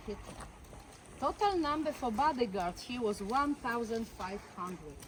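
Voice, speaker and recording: A woman talks at a fairly slow pace and fairly high pitch against noticeable background noise. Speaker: tour guide. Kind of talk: guided tour. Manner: halting.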